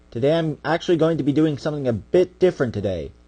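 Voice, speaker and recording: A man's very fast speech with lively intonation, a dark, mellow tone and fairly high pitch. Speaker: creepypasta narrator, channel owner. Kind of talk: reading aloud. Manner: stuttering a bit.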